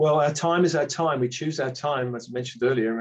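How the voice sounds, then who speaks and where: A man's fairly high voice with an English accent, fairly quick and fairly even in intonation. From England. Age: 60s. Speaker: spiritual author. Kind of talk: casual chat.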